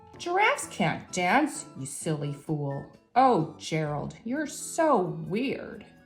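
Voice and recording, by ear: A woman's put-on character voice, fairly low-pitched with big pitch swings and a slow pace, over faint music in the background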